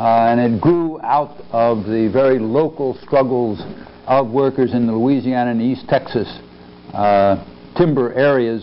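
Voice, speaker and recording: A man at a fairly slow pace with ordinary pitch variation. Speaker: history professor. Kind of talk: lecture. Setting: stage with audience. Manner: halting. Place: hall. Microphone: lapel.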